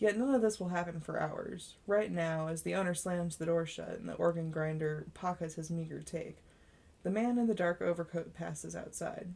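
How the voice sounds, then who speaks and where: Speaking at a moderate pace, a woman has a normal speaking voice with a fairly low pitch. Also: ordinary pitch variation. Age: 20s. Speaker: amateur audiobook narrator. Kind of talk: reading aloud. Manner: occasional stumbles and self-corrections.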